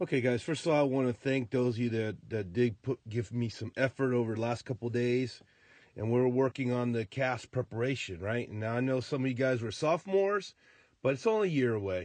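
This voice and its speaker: A man talks at a fairly quick pace in a normal speaking voice, medium in pitch with ordinary pitch variation. The sound is dry and close, with no echo. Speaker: high school math teacher. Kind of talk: tutorial.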